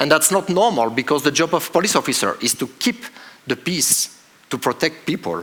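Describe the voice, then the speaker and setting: This man's voice sits fairly high, with very wide pitch swings and vocal fry. His pace is moderate. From France. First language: French. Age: 40s. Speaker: police officer. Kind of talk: conference talk. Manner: halting.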